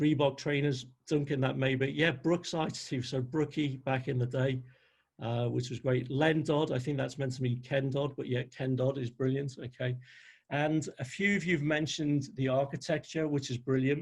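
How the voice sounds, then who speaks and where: In a Liverpool accent, a man talks at a moderate pace against a quiet background. His voice is somewhat breathy and fairly high. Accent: Liverpool (Scouse). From northern England, Liverpool. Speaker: NLP trainer. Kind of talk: webinar presentation. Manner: animated.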